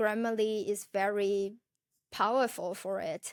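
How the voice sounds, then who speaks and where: On a very clean recording with a silent background, a woman speaks with a non-native accent. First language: not English. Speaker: food blogger and podcast host. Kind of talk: casual tutorial monologue. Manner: halting, with self-corrections.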